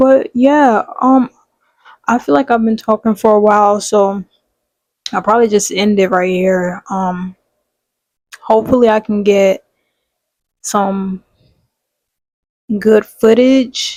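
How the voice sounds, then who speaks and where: At a very slow pace with long, frequent pauses, a woman speaks in a fairly high voice with ordinary pitch variation, the sound dry and close with no echo. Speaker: small video blogger. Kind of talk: casual vlog monologue.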